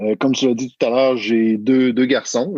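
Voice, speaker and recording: A man speaks with a Quebec accent in a dry, close sound with no echo. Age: 40s. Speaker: family coach. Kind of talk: podcast interview. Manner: hesitant, many fillers.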